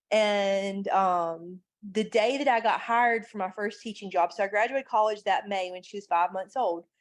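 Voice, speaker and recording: Her pace is moderate. The woman speaks at a medium pitch with ordinary pitch variation. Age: 30s. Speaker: life coach and mother. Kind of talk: podcast interview. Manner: halting, many fillers.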